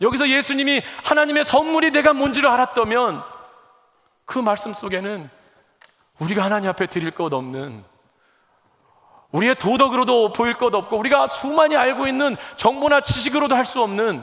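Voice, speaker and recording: A man's extremely high pitch with lively intonation and long, frequent pauses. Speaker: pastor. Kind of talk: sermon. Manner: fast.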